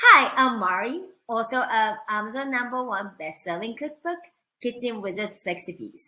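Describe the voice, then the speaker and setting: A woman with a Japanese accent has a fairly high pitch, a bright, sharp tone and lively intonation. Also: moderate pace. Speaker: cooking instructor. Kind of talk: online training presentation.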